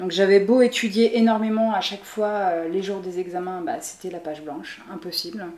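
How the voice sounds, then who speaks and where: A woman at medium pitch talks at a moderate pace with hardly any pauses, ordinary pitch variation and big swings in loudness. Audible room echo and noticeable background noise surround her. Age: 30s. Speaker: entrepreneur. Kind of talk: interview.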